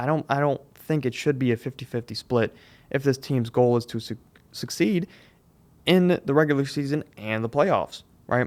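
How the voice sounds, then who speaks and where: On a very clean recording with a silent background, a man talks at a moderate pace with ordinary pitch variation. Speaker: sports podcast host. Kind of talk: solo podcast commentary. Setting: studio. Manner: halting, self-correcting.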